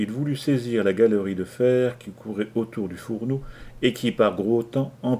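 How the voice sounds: The pitch varies in an ordinary way across a natural reading voice.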